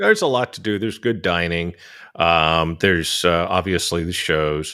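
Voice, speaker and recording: A man with an American accent talks at a moderate pace, his very deep, low pitch showing ordinary variation and his loudness swinging widely. The recording is very clean, with a silent background. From California. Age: 60s. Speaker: podcast host. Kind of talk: interview.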